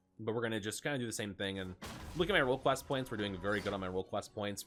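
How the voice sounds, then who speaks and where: Over music in the background, a man talks in a fairly low pitch with ordinary pitch variation. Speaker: gaming content creator and coach. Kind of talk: gameplay tutorial commentary. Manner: fast.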